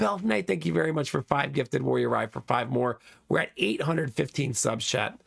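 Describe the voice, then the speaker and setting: Very wide pitch swings and vocal fry run through this man's speech. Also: medium pitch for a man, fairly quick pace. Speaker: streamer. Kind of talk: live stream chat. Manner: casual, chatty.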